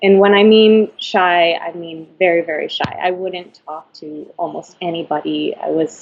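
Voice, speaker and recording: A woman speaks at a fairly slow pace. Her pitch is fairly low. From Florida, Venezuelan parents. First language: Spanish. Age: 30s. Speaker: ballet dancer. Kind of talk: interview.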